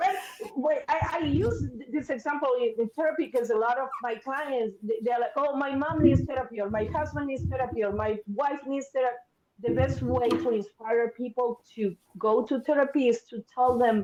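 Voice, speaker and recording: A woman speaks in an Argentine accent at a moderate pace. Her voice is high, with lively intonation. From Argentina, Buenos Aires. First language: Spanish. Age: 50s. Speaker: therapist. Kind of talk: podcast interview.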